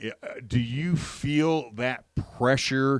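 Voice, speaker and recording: A man's plain, everyday voice at a medium pitch, with ordinary pitch variation and a dry, close sound with no echo. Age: 60s. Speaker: sports radio host. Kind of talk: radio interview.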